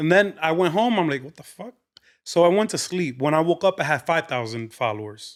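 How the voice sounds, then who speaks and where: A man's animated, high voice with lively intonation, a fairly quick pace and big swings in loudness, on a very clean recording with a silent background. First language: Spanish. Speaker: comedian. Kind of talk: casual chat. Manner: animated, mixing English and Spanish.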